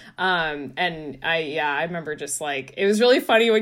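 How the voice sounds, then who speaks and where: A woman with an American accent uses an ordinary speaking voice, moving at a fairly quick pace with lively intonation. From US West Coast, San Francisco Bay Area. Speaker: magazine writer. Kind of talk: casual chat. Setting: video call.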